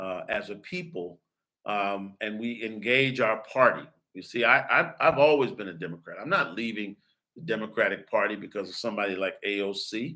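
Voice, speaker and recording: A man with an American accent and a fairly low, bright, sharp voice, at a moderate pace with ordinary pitch variation. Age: 60s. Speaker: podcast host and pastor. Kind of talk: political commentary monologue. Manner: emphatic, preacherly.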